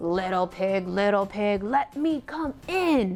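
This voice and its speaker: A gruff, put-on character voice, female-sounding and medium-pitched for a woman, at a fairly slow pace over light background noise. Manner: menacing, demanding.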